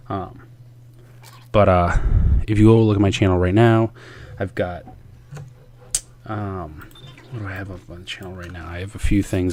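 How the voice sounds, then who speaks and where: A man speaks at a fairly quick pace with a very deep, low pitch. Noticeable background noise sits behind him. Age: 30s. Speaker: gaming youtuber. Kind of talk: casual gameplay commentary monologue. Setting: home room, gaming at night. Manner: fast; audible deep breaths, filler-heavy.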